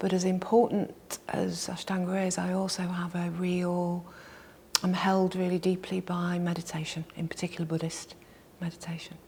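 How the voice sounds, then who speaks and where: A woman at a moderate pace, fairly low in pitch, with monotone, flat intonation. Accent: Mancunian. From Manchester, England. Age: 60s. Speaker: yoga and meditation teacher. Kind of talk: interview.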